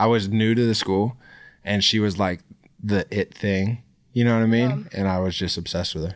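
A plain, everyday voice from a man with an American accent, fairly low pitch, fairly even intonation and a fairly quick pace, in a very clean recording with a silent background. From Texas, Dallas. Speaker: actor and model, former basketball player. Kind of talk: casual chat.

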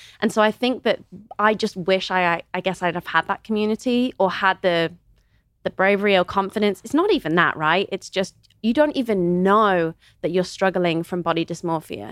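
A woman with a Midlands accent talks at a moderate pace with ordinary pitch variation, on a very clean recording with a silent background. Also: medium pitch for a woman, dry, close sound with no echo. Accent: British English, Midlands. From England, Kidderminster (West Midlands). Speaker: model and influencer. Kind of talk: casual interview chat.

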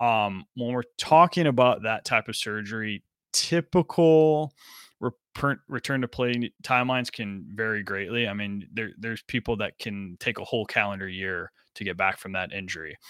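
An unremarkable speaking voice, a man with an American accent at medium pitch and moderate pace, lively intonation, dry and close with no echo, on a very clean recording with a silent background. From US Midwest, Chicago area. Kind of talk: casual chat.

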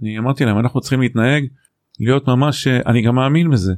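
A plain, everyday voice from a man, medium in pitch with ordinary pitch variation, at a fairly quick pace on a very clean recording with a silent background. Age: 50s. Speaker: executive coach and author. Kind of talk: casual interview.

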